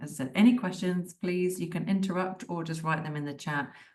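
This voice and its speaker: Audible room echo surrounds a woman's voice. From United Kingdom. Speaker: digital marketing tutor. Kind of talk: webinar lecture. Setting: video call. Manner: casual and conversational.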